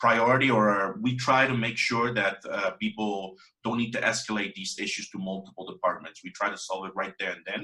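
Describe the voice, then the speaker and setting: A man's bright, sharp voice of medium pitch with a Spanish accent, at a moderate pace with fairly even intonation. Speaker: WordPress developer. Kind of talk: interview. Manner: halting.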